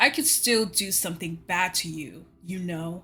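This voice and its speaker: A woman growls in a put-on character voice at a medium pitch. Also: moderate pace, ordinary pitch variation. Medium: read story. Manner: sullen, defensive.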